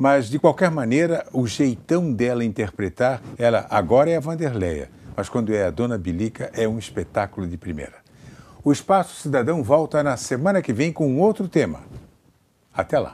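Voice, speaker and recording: With very wide pitch swings, a man talks at a medium pitch. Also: moderate pace. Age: 70s. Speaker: TV journalist. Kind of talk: TV interview.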